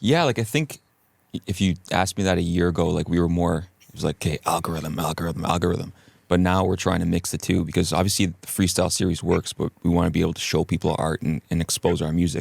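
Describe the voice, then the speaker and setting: In a dry, close sound with no echo, a man with a very deep, low pitch talks at a very fast pace with fairly even intonation. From Canada. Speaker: pop musician. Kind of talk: casual interview chat. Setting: studio.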